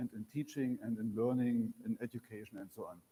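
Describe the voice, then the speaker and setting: A man with a German accent talks at a fairly quick pace in a medium pitch. His tone is dark and mellow, and the sound is dry and close with no echo. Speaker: library director. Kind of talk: lecture. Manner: halting.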